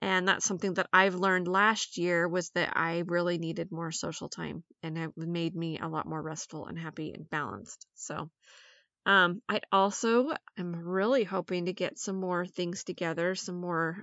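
A woman with a fairly low pitch and an ordinary speaking voice talks at a moderate pace. Her intonation stays fairly even while her loudness swings widely. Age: 40s. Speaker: podcast host. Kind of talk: casual monologue.

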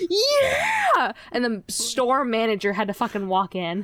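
Noticeable background noise accompanies a woman whose voice is pitched fairly high. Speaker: podcast co-host. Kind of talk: casual chat. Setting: remote online call.

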